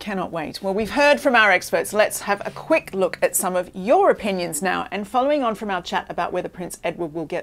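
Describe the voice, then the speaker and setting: A woman with an Australian accent talks at a fairly quick pace, her medium-pitched voice making very wide pitch swings. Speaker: royal news show host. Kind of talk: scripted presenting.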